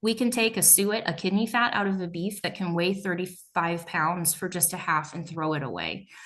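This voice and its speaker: A woman's fairly low, plain, everyday voice at a moderate pace with ordinary pitch variation. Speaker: meat processor. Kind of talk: presentation.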